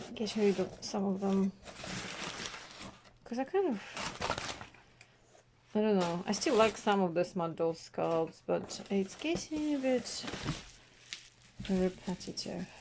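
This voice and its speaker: A woman at a fairly slow pace, long, frequent pauses, and noticeable background noise. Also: medium pitch for a woman, ordinary pitch variation. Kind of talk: casual talk to camera, unboxing. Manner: quiet, soft-spoken.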